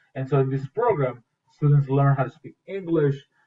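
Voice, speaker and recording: Somewhat breathy, a man with a Spanish accent speaks at a moderate pace and a fairly high pitch. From Mexico. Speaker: school teacher. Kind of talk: morning school announcement presentation. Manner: casual, with many fillers.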